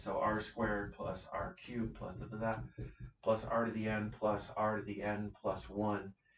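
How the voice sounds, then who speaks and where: A man speaks at a fairly low pitch, his voice somewhat breathy. Audible room echo surrounds him. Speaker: math teacher. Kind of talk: lecture. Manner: fast.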